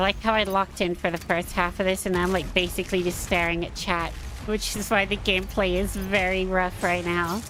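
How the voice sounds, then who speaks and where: A woman with an American accent speaks at a medium pitch. Her intonation is monotone and flat, with music in the background. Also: fairly quick pace. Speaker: gaming streamer. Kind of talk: casual chat. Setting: livestream.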